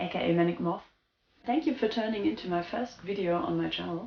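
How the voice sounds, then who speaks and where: A woman speaks with a German accent. Her pace is fairly quick. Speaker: goth lifestyle vlogger. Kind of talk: casual vlog talk. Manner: spontaneous, somewhat halting.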